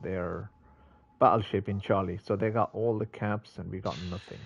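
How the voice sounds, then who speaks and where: A man's fairly low, somewhat breathy voice over light background noise. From England. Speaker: gaming streamer. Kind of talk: live gameplay commentary; casual gameplay commentary. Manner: casual, chatty. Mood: mildly frustrated. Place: home room. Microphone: headset.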